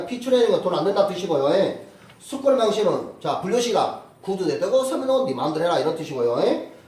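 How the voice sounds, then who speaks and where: An extremely high-pitched man at a fairly quick pace, with noticeable background noise and audible room echo. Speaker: civil law lecturer for real estate agent exam. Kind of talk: lecture. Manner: fast.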